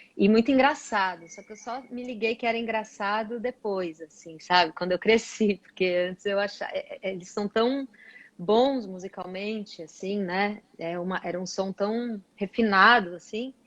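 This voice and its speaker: Delivered at a moderate pace with hardly any pauses, the speech has ordinary pitch variation and big swings in loudness in a dry, close sound with no echo. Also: woman, medium pitch for a woman. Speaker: singer. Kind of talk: interview.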